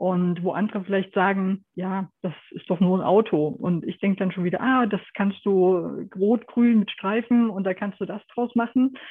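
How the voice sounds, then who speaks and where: Medium pitch and ordinary pitch variation in a woman's normal speaking voice. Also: moderate pace. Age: 50s. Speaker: photographer. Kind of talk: interview.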